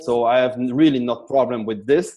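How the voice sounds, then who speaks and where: A man with an ordinary speaking voice, at a moderate pace. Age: 40s. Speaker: sales expert. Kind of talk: interview.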